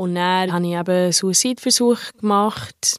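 In a very clean recording with a silent background and a dry, close sound with no echo, a woman speaks with ordinary pitch variation. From abroad. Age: 20s. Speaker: hotel employee. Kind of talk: interview. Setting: outdoors. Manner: halting.

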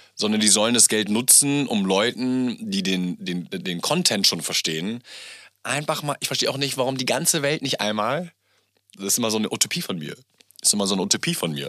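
Loud and bright with a sharp tone, a man talks at a fairly quick pace and medium pitch, his pitch swinging very widely. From Germany, Gütersloh near Bielefeld. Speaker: entrepreneur, podcast guest. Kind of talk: casual interview chat. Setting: home studio. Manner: animated, loud; hesitant, repeating words.

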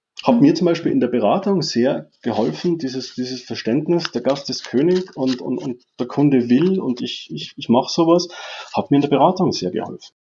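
This man's voice sits fairly high in pitch. He moves at a moderate pace with lively intonation. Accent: Austrian. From Austria, mountain village. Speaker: IT manager, former chef. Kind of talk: interview. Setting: remote call. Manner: halting, many repetitions.

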